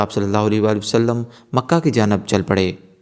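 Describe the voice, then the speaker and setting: A man speaks in a fairly low register. It is an ordinary speaking voice. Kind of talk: Islamic religious narration.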